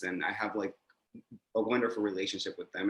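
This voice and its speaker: A man speaks in a fairly low pitch. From Mexico. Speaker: panelist, LGBTQ+ advocate. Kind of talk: panel discussion. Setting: video call.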